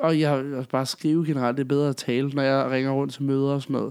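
A man talks at a very fast pace. His fairly high-pitched voice is monotone, with flat intonation. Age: 20s. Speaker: podcast co-host. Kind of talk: casual chat.

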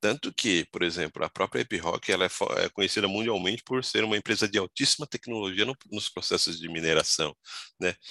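A man speaks at a fairly quick pace with a fairly low pitch and a bright, sharp tone. His pitch varies ordinarily, and the sound is dry and close with no echo. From São Paulo, Brazil (born in Goiás). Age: 40s. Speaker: tax executive. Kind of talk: interview.

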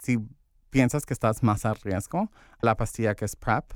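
A man at a medium pitch with ordinary pitch variation and a moderate pace, dry and close with no echo, in a very clean recording with a silent background. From Santa Ana, Orange County, California. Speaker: LGBTQ community organizer. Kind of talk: interview. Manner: halting, many fillers.

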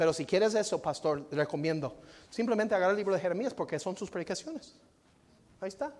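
At a very fast pace, a man with a high pitch speaks with lively intonation. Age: 40s. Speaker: visiting pastor. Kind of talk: sermon. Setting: church.

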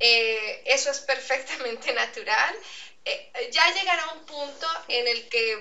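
A woman with an Andean Venezuelan accent and lively intonation. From Venezuela, Andean region. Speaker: Spanish teacher. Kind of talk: interview with student. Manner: slow, clearly articulated.

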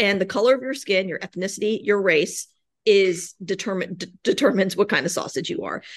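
Speaking fairly quickly with an American accent, a woman holds a medium pitch with ordinary pitch variation and big swings in loudness. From US, Virginia. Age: 40s. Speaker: author and anti-racism activist. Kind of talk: interview. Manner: animated.

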